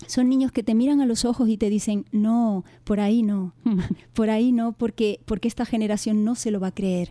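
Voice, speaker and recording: The voice has a dark, mellow tone and fairly even intonation at a moderate pace. Its loudness stays very even, with a dry, close sound and no echo. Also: woman, fairly high pitch for a woman. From Canary Islands. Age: 50s. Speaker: author and former teacher. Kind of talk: interview. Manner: gentle.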